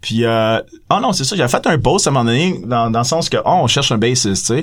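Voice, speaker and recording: The delivery is fairly quick, with ordinary pitch variation in a normal speaking voice. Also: man. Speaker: band member musician.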